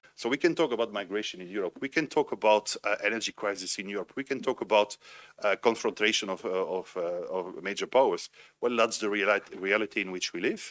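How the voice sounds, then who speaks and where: Here a man talks fairly quickly with a Belgian French accent and a fairly low pitch. His pitch varies in an ordinary way, and the sound is dry and close with no echo. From Belgium (French-speaking). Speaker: conference panelist, former military officer. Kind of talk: panel discussion. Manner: halting, frequent repetitions.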